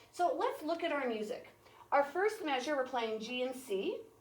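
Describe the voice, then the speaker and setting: A woman speaks at a high pitch. Audible room echo surrounds her voice. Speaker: music teacher. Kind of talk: tutorial. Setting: recorded video for classroom. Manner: fast.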